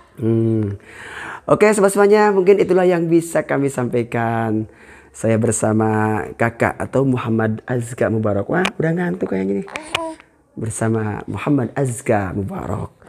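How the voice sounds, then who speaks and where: There is noticeable background noise behind this voice. A man with a medium pitch speaks at a moderate pace. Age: old. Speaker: Islamic preacher and YouTuber; Islamic preacher, YouTuber. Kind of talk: casual vlog. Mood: warm, cheerful, prayerful. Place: home room.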